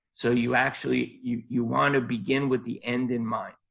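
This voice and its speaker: The voice carries vocal fry and ordinary pitch variation. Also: man. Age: 60s. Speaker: podiatrist, life coach guest. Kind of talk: interview.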